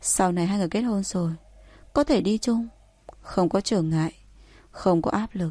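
A natural reading voice whose pitch varies in an ordinary way

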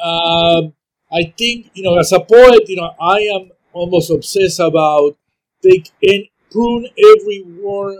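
A fairly slow pace in a Spanish accent. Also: man. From Argentina, Buenos Aires. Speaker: poet. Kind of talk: casual chat. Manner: halting.

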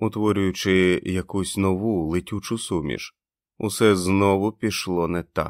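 Against a quiet background, the voice reads in an unforced way, its intonation fairly even.

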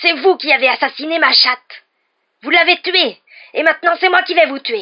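Shouting in a put-on character voice, a woman sounds shrill at an extremely high pitch. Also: moderate pace. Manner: shouting, enraged.

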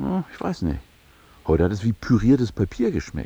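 Doing a put-on character voice, a man speaks at a fairly low pitch with very wide pitch swings. His dark, mellow tone has a slightly husky edge and vocal fry. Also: moderate pace.

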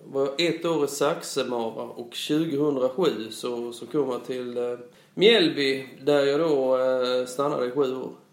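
The speech comes at a very slow pace with fairly even intonation and big swings in loudness, amid audible room echo and noticeable background noise. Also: man, medium pitch for a man. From Blekinge, southern Sweden. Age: 40s. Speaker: football coach and school principal. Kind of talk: interview. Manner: halting.

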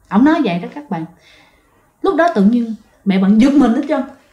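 Lively intonation marks this woman's fairly high voice with a dark, mellow tone. She keeps a moderate pace amid audible room echo.

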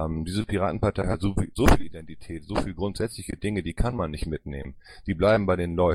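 His voice sits very deep and low. The man talks at a very fast pace. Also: ordinary pitch variation. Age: 50s. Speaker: politician and party board candidate. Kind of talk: panel Q&A interview.

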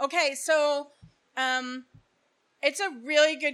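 A woman with an American accent uses a raised, projected voice with a bright, sharp tone. The recording is very clean, with a silent background. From New Jersey, Bergen County. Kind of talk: faith talk to a live group. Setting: live audience. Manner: animated.

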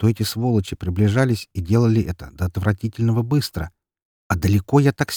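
Quiet background behind plain reading aloud, pitch varying an ordinary amount

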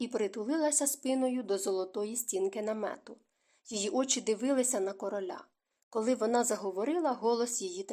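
Someone reads aloud plainly. Nothing disturbs the quiet background.

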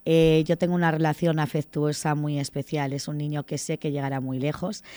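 A woman's low voice with a dark, mellow tone, little pitch movement and a fairly quick pace.

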